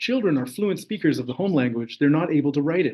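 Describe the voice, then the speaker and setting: Here a man speaks at a fairly high pitch with ordinary pitch variation. He has an ordinary speaking voice. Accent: Canadian. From interior of British Columbia, Canada. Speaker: graduate student researcher. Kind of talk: academic talk. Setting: online session.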